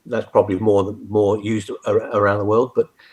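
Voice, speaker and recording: Speaking with a British accent, this man has a medium pitch and ordinary pitch variation. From UK. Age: 70s. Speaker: retired army general. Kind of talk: interview. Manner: halting, many fillers and restarts.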